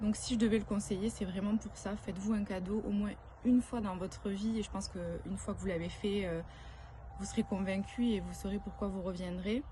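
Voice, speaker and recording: A woman of medium pitch talks at a fairly quick pace in a monotone, flat intonation. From southern France. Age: 30s. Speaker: retreat participant, works in advertising. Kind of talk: testimony. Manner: hesitant, many filler sounds.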